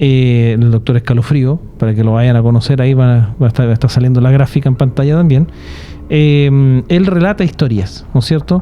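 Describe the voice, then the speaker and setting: A man with a Chilean accent, fairly quick pace, ordinary pitch variation, and noticeable background noise. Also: medium pitch for a man, very even loudness. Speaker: podcast host. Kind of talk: casual chat.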